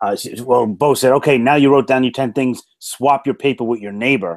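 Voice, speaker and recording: On a very clean recording with a silent background, a man talks with a strong New York accent. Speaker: motivational speaker and franchise consultant. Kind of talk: interview. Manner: animated storytelling.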